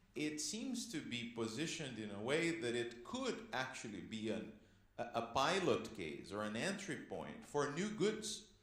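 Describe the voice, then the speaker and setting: At a moderate pace, a man talks with vocal fry and very wide pitch swings, with audible room echo around him. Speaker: panelist. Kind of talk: panel discussion. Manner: loud; animated.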